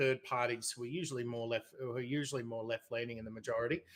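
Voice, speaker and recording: Speaking with an Australian accent, this man's voice sits at a medium pitch. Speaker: debater. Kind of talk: debate.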